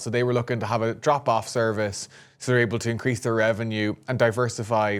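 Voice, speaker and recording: Speaking very fast in an Irish accent, a man keeps a medium pitch and a monotone, flat intonation. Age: 20s. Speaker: podcast co-host, startup founder. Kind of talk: casual chat.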